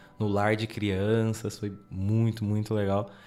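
A man's voice sits at a fairly low pitch with a dark, mellow tone. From São Paulo city, Brazil. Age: 20s. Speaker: Bible course student. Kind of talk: casual chat.

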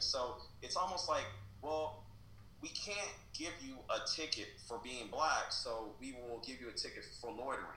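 A man talks at a moderate speed, and both audible room echo and noticeable background noise can be heard. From Kansas City, Missouri. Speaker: writer and essayist. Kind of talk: interview. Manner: halting, many repetitions.

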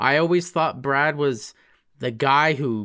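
A man with a Canadian accent speaks very slowly at a fairly high pitch with a bright, sharp tone. His pitch varies in an ordinary way on a very clean recording with a silent background. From Alberta, Canada (High River). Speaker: podcast host. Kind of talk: casual chat.

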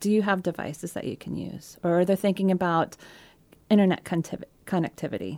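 In a very clean recording with a silent background, a woman with a dark, mellow tone speaks at a fairly quick pace. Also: fairly low pitch for a woman, fairly even intonation. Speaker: digital safety advocate, former programmer. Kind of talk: interview conversation. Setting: radio studio.

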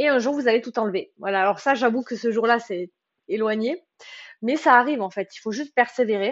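A woman speaks at a fairly quick pace. Her fairly high voice has ordinary pitch variation. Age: 20s. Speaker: book podcaster. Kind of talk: casual monologue. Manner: talkative; hesitant, many fillers.

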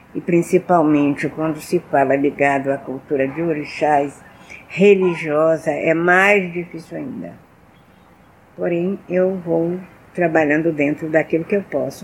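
With fairly even intonation and a fairly slow pace, the woman talks in a very deep, low voice. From Rio de Janeiro, Brazil (Tijuca). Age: 80s+. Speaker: storyteller of Afro-Brazilian culture. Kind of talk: interview, personal storytelling.

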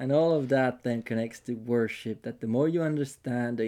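Recorded very cleanly against a silent background, a man with a non-native accent speaks at a medium pitch in a dark, mellow tone with ordinary pitch variation. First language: not English. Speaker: podcast host. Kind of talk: casual chat. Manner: halting.

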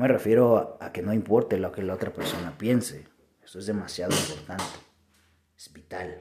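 In a Mexican accent, a man with a dark, mellow tone and fairly low pitch speaks with ordinary pitch variation and big swings in loudness. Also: moderate pace. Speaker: podcaster. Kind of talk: reflective monologue.

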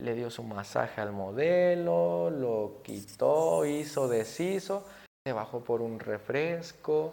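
With a dark, mellow tone, a man speaks at a medium pitch and a very slow pace, his voice making very wide pitch swings. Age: 20s. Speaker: barber. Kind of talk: casual interview. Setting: barbershop.

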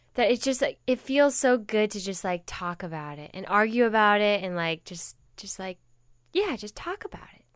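Her unremarkable speaking voice, medium in pitch, moves at a moderate pace with lively intonation and big swings in loudness on a very clean recording with a silent background. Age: 20s. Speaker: podcast co-host, documentary filmmaker. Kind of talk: casual chat.

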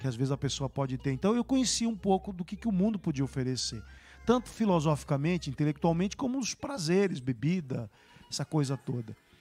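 The man's voice is fairly high, with a dark, mellow tone and some breathiness. He moves at a fairly quick pace through very wide pitch swings. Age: 60s. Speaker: bishop. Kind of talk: live-streamed church talk show interview.

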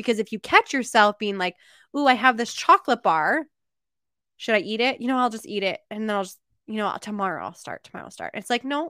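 A woman's fairly high, bright and sharp voice at a very fast pace, with lively intonation and big swings in loudness, dry and close with no echo, on a very clean recording with a silent background. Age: 30s. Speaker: wellness podcast host. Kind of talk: solo podcast monologue. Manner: casual, with many fillers.

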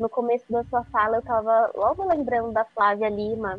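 A woman has a plain, everyday voice with a fairly high pitch. She keeps a moderate pace and fairly even intonation. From interior of São Paulo state (Araras). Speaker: magazine journalist. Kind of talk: podcast interview.

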